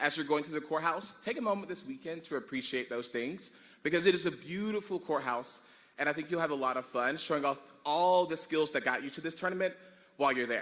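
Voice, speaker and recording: Loud and high-pitched, a man talks at a fairly quick pace with ordinary pitch variation. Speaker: tournament director. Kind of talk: logistical announcements at ceremony. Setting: large room with audience.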